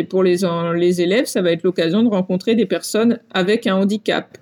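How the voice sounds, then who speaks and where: A woman speaks at a fairly quick pace with ordinary pitch variation. Hers is an unremarkable speaking voice. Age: 40s. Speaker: long-distance cyclist. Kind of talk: interview.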